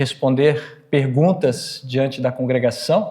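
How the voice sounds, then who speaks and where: This man's voice sits fairly high in pitch. He speaks at a fairly slow pace. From northern Brazil, Pará (born Espírito Santo). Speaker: Lutheran professor and pastor. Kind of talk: talk or lecture to a church audience.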